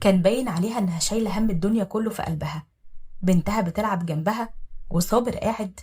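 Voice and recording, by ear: The voice sounds natural. It belongs to someone reading aloud.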